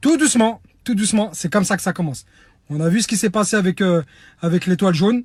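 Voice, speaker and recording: Loud and very fast, a man speaks with a high pitch and lively intonation. Long, frequent pauses break up his speech. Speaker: humanitarian activist. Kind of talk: online video appeal.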